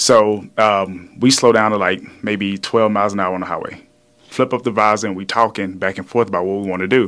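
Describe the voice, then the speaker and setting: This voice comes with a Louisiana accent. Its intonation stays fairly even. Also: man. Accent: Southern US (Louisiana). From Louisiana, small town. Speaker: fitness trainer, former pro football player. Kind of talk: casual chat.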